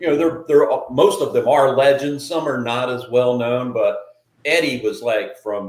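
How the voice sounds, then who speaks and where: Audible room echo carries the voice of a man. His pace is fairly slow. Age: 60s. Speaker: podcast host. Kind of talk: casual chat.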